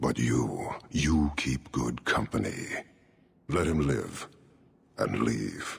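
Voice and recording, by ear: A man's put-on character voice, extremely low with vocal fry, lively intonation and a slow pace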